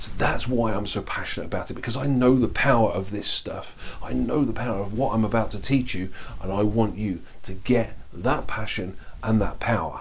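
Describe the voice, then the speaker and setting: A man amid noticeable background noise and audible room echo. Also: medium pitch for a man. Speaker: life coaching trainer. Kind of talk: online course lecture. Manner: fast; animated.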